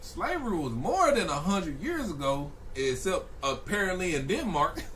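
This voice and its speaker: Amid noticeable background noise and audible room echo, a man speaks at a moderate pace in an animated tone. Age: 20s. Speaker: streamer reacting to news videos. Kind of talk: live stream reaction commentary.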